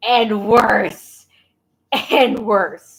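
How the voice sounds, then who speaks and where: A woman's high-pitched voice. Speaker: livestreamer reading the Bible. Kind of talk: casual livestream chat and reading aloud. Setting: livestream. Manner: stumbling over words.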